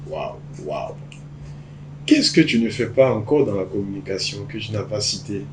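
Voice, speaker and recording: Recorded with noticeable background noise, a man speaks at a medium pitch and a fairly slow pace. His voice shows very wide pitch swings and big swings in loudness, broken by long, frequent pauses. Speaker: podcast host. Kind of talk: podcast interview.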